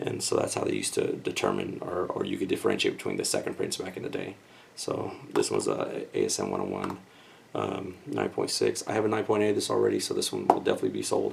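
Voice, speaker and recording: A quiet man speaks at a very fast pace over noticeable background noise. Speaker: comic book collector YouTuber. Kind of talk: casual unboxing video. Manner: speaking quietly.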